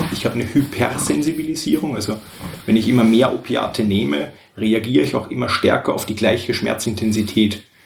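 A man's medium-pitched voice at a fairly quick pace with lively intonation, amid noticeable background noise. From Austria. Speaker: guest. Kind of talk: casual chat. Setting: shared table mic, several people in one room. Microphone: poor audio quality.

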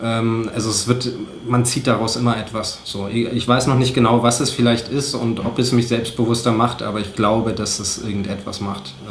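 A man talks at a moderate pace and a medium pitch, his intonation monotone and flat. Audible room echo and noticeable background noise surround him. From eastern Germany, Cottbus. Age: 20s. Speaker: photojournalist and podcaster. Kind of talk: casual chat. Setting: home kitchen.

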